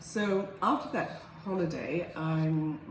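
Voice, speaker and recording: Fairly even intonation comes through noticeable background noise and audible room echo. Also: woman. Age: 70s. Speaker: surgery patient. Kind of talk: patient testimonial. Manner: halting, many fillers and repeats.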